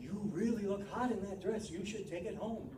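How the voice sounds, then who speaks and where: A man's put-on character voice, high-pitched, with a slight echo and loud background noise. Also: moderate pace. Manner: tempting, seductive.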